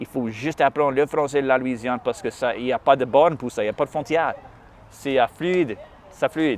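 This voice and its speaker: In an English accent, a man talks at a fairly quick pace with a medium pitch and ordinary pitch variation. The sound is dry and close, with no echo. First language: English (speaking French). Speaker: musician. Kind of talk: interview conversation. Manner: halting, many hesitations.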